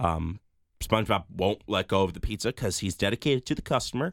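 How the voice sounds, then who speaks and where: Over a silent background in a very clean recording, a man speaks at a moderate pace. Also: dry, close sound with no echo. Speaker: podcast co-host. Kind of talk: casual chat. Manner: animated.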